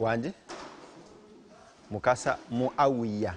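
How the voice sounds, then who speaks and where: He speaks with a Ugandan accent and ordinary pitch variation. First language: Luganda. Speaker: farm owner. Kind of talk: farm presentation.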